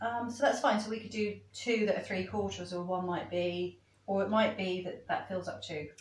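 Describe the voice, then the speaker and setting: Medium-pitched woman's speech at a moderate pace, with ordinary pitch variation, hardly any pauses and noticeable background noise. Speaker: soap maker demonstrating a recipe. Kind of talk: tutorial. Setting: chapel venue used as a kitchen.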